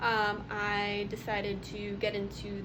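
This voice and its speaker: Noticeable background noise mixes with audible room echo in this clip. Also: woman. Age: 20s. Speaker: substitute teacher presenting research. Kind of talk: presentation. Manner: halting, many fillers.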